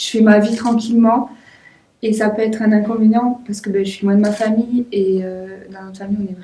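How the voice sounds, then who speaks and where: Somewhat breathy, a woman speaks fast-ish at a fairly quick pace and fairly high pitch, her intonation monotone and flat and her loudness swinging widely. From southwest France, Toulouse. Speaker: volleyball player. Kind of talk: interview. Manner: casual.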